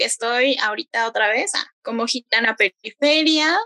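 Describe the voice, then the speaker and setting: Her raised, projected voice has a bright, sharp tone, as this woman speaks at a fairly slow pace in a dry, close sound with no echo. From Mexico City outskirts. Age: 20s. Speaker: bike activist and workshop leader. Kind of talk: casual interview.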